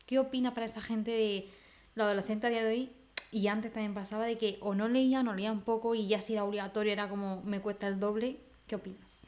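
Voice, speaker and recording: A woman's fairly high voice at a very fast pace, monotone and flat in intonation. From Spain. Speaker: podcast co-host. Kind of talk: casual chat.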